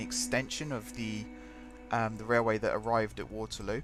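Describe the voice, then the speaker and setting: A man talking at a fairly quick pace, with music in the background. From England, home counties (Hertfordshire). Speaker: gaming streamer. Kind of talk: live game stream commentary. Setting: live stream. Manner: casual, conversational.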